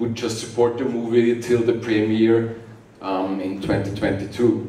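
Heard with audible room echo, a man speaks at a very slow pace. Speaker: conference speaker. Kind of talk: conference talk. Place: hall.

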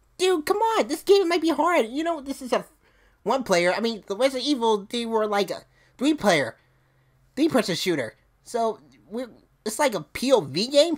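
A man uses a cartoonish character voice at an extremely high pitch, moving at a moderate pace with long, frequent pauses. The recording is very clean, with a silent background. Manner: whiny, loud, impatient.

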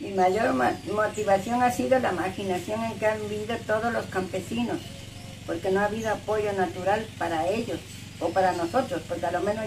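Moderate-paced speech from a woman, noticeable background noise behind it. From Veracruz, Mexico. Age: 80s+. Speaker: peasant farmer and political activist. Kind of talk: interview answer. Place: home room. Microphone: phone near.

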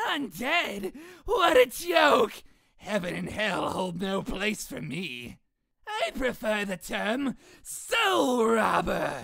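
A put-on character voice, fairly high in pitch, speaks at a very slow pace. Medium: dub.

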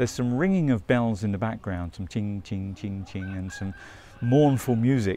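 A man's fairly low voice at a moderate pace with ordinary pitch variation, dry sound with no echo and music in the background. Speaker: travel vlogger. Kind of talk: casual vlog chat. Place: street. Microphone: phone near.

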